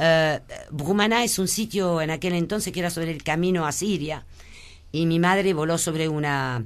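Her pitch is very deep and low for a woman, with ordinary variation. She speaks at a moderate pace. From born in Lebanon, French family. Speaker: businesswoman. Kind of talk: radio interview. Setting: radio studio.

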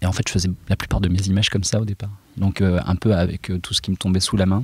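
Speech rushes by at a very fast pace. Its intonation is flat and monotone. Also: man. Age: 40s. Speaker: illustrator. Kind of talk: interview. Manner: halting.

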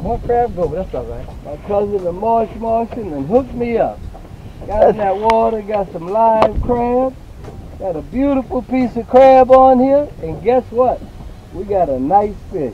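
Noticeable background noise sits under a fairly slow voice in a dry sound with no echo. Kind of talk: excited fishing commentary. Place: boat. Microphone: camera far.

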